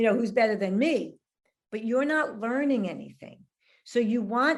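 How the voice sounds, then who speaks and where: With a New York accent, a woman speaks at a fairly high pitch with ordinary pitch variation. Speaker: relationship expert and author. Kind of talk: casual interview chat.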